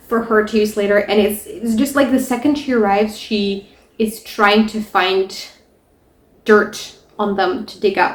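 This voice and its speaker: Her voice fairly high and somewhat breathy, a woman speaks with fairly even intonation. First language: not English. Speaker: book reviewer. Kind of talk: casual book discussion.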